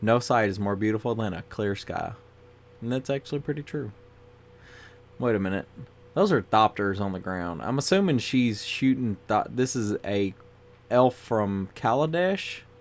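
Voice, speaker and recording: Medium-pitched male speech at a moderate pace, broken by long, frequent pauses, with music in the background. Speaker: YouTuber reviewing Magic cards. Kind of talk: casual card review monologue. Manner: monotone.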